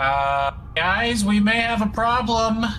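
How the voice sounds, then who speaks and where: Using a put-on character voice, a man speaks at a fairly slow pace with a high pitch as clear background noise runs behind him. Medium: actual play. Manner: wry, joking.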